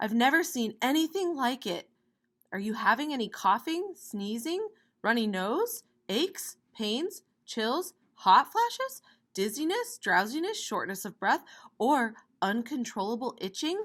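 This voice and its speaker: A woman mumbles in a put-on character voice at a high pitch with very wide pitch swings. She keeps a moderate pace on a very clean recording with a silent background. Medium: read story. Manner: mumbling, fussy.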